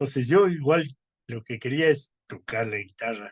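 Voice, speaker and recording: In a dry, close sound with no echo, a man speaks at a fairly slow pace. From Ecuador. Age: 60s. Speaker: composer. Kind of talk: interview. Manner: hesitant with fillers.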